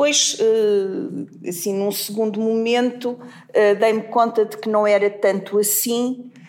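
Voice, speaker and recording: A woman speaks very slowly with a fairly high pitch, hardly any pauses and fairly even intonation, over noticeable background noise. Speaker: literature professor. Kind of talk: academic discussion. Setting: university seminar room. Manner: hesitant, many fillers.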